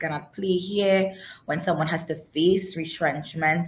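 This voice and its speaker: A woman's fairly low, somewhat breathy voice keeps a fairly even intonation. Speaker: webinar host and moderator. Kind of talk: webinar moderation. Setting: online webinar.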